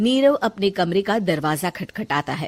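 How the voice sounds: A woman at medium pitch with a slightly mellow tone, lively intonation and a fairly slow pace.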